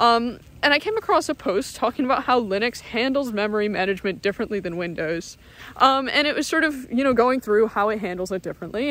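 In a dry sound with no echo, a woman speaks at a very fast pace with lively intonation. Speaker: vlogger. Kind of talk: casual vlog chat. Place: forest. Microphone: phone near.

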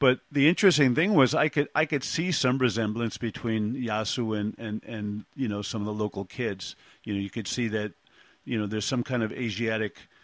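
A man with a New York accent talks at a medium pitch with ordinary pitch variation. The sound is dry and close without echo, against a quiet background. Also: moderate pace. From Brooklyn, New York. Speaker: podcast host. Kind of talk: casual interview. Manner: halting, with many fillers.

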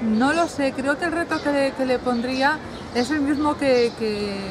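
There is noticeable background noise. A woman speaks at a high pitch with ordinary pitch variation. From Spain. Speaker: romance novelist. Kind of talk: casual interview. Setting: book fair. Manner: animated. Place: garden.

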